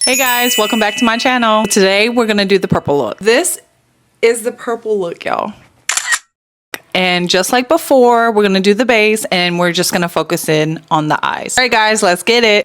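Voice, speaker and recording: With an American accent and a normal speaking voice, a woman speaks at a moderate pace with fairly high pitch and lively intonation. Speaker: beauty vlogger. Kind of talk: makeup tutorial, casual chat. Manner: casual, chatty.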